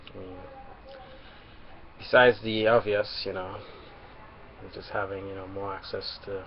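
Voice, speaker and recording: Over noticeable background noise, a man with a fairly low pitch speaks at a moderate pace in a monotone, flat way. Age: 20s. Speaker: vlogger. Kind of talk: webcam monologue.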